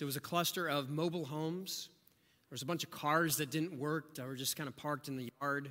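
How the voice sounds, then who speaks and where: Fairly quick and fairly even in intonation, a man speaks at a fairly high pitch with a bright, sharp tone and an American accent. The recording is very clean, with a silent background. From rural southeast Ohio. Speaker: pastor. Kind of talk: sermon.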